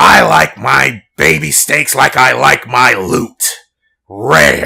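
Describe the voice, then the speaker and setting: A man's put-on character voice, menacing and raspy, fairly low-pitched with very wide pitch swings, very slow and at very even loudness. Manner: unhinged, menacing.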